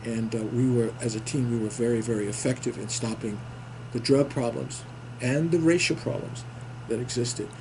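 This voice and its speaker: With an American accent, the speaker holds a moderate pace and fairly even intonation amid noticeable background noise and audible room echo. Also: man, medium pitch for a man. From New York City. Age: 70s. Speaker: war veteran. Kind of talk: interview. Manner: halting.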